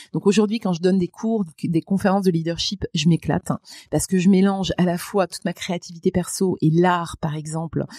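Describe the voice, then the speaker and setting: Somewhat breathy and dark, mellow in tone, a woman talks fairly quickly at a medium pitch with fairly even intonation, in a dry, close sound with no echo. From France, Moselle. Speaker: public speaker and trainer. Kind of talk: podcast interview.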